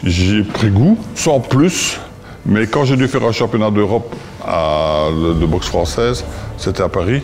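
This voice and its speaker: A man talks at a fairly slow pace with lively intonation and very even loudness, over noticeable background noise. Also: fairly low pitch for a man. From Belgium, Liège province (Visé). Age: 70s. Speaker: former boxer and boxing coach. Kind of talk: interview testimony.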